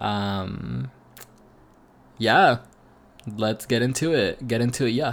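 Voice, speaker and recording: A man's medium-pitched voice with vocal fry, at a very slow pace with long, frequent pauses and ordinary pitch variation. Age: 20s. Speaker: podcast host. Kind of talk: casual monologue. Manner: hesitant, many fillers.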